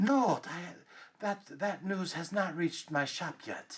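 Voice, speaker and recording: In a put-on character voice at middle pitch, the speaker goes at a fairly slow pace over a hissing sound. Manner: slow, hissing.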